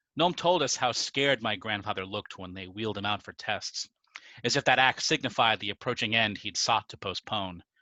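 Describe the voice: The reading aloud is plain, but the intonation is lively.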